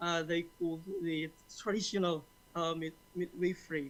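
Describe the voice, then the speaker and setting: A man speaks in an Indonesian accent at a fairly slow pace. His pitch is high and his intonation monotone and flat. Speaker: conference participant asking a question. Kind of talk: audience question. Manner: halting, many fillers.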